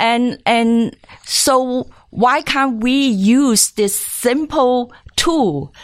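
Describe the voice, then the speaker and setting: A woman speaks with lively intonation. The recording is very clean, with a silent background. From Hong Kong. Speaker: film festival founder. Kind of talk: interview. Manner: halting.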